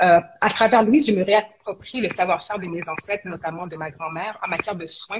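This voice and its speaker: Speaking at a fairly quick pace, a woman at a medium pitch shows ordinary pitch variation and big swings in loudness, with noticeable background noise. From Quebec, Montreal. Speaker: entrepreneur. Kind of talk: interview.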